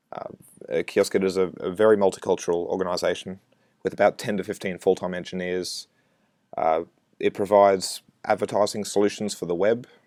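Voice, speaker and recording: With an Australian accent, a man talks at a fairly quick pace in a fairly low pitch, his intonation monotone and flat, broken by long, frequent pauses. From Australia, Brisbane. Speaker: software developer. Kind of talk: conference talk. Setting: recorded remote presentation.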